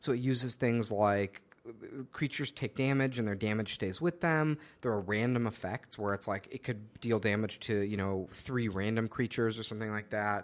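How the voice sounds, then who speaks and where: The man has an unremarkable speaking voice, keeping a moderate pace and ordinary pitch variation. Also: medium pitch for a man. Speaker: podcast host. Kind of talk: casual chat.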